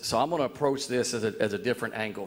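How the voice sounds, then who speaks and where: Very fast male speech with a Southern US accent, at a medium pitch with ordinary pitch variation. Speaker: citizen speaking at public comment, former football coach. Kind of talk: public comment at city board meeting. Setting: city board meeting. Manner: loud.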